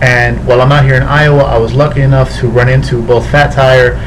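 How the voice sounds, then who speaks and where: Background noise can be clearly heard. Over it, a man delivers his words fairly quickly. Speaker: beer reviewer. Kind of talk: casual vlog chat. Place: home room. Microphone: webcam.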